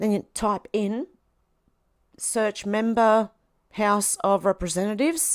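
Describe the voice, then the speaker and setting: Speaking very slowly with long, frequent pauses, a woman with a fairly high pitch and an Australian accent shows ordinary pitch variation in a very clean, dry, close recording with a silent background and no echo. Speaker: political commentary vlogger. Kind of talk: casual monologue.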